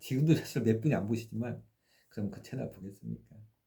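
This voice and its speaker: At a moderate pace, a man talks in a somewhat breathy, dark, mellow tone, his fairly low pitch carrying lively intonation. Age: 60s. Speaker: faith YouTuber. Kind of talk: casual monologue. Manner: hesitant, many fillers.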